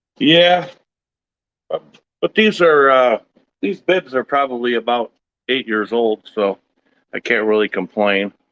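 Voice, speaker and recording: A man at a medium pitch talks at a fairly slow pace with lively intonation and long, frequent pauses, in a dry, close sound with no echo. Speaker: homesteader vlogger. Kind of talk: casual solo talk while working. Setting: garage. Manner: loud.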